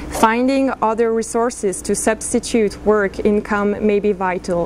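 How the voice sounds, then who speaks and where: With fairly even intonation, a woman speaks at a fairly slow pace. Light background noise can be heard. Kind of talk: formal prepared statement. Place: meeting room. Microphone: podium.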